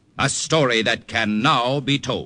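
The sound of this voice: Using a put-on character voice, a man at medium pitch speaks slowly with vocal fry, very wide pitch swings and a bright, sharp tone.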